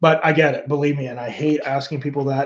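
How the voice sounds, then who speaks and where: This is a man talking. His voice is somewhat breathy. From Canada. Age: 50s. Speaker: YouTuber and former musician. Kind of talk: livestream chat reading comments. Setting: livestream.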